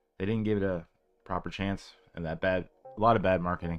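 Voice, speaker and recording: A fairly low-pitched man at a fairly quick pace, fairly even in intonation, with music in the background. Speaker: video game streamer. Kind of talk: casual live stream chat. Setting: live stream at a small portable desk.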